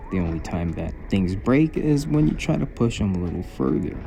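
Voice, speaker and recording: Very wide pitch swings at a moderate pace, over noticeable background noise. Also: man. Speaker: RC hobby YouTuber. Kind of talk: product opinion vlog. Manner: careful enunciation.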